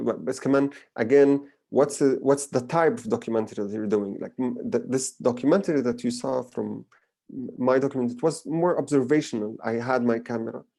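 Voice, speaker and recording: A man's medium-pitched voice with a dark, mellow tone and a Palestinian accent, ordinary pitch variation and a quiet background. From Palestine. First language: Arabic. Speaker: filmmaker. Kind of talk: lecture Q&A. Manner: halting with fillers and repetitions.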